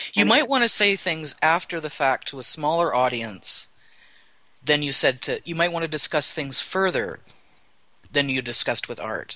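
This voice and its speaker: A man with a fairly high voice speaks at a moderate pace against a quiet background. His intonation is lively and his tone bright and sharp. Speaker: guest. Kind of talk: casual chat.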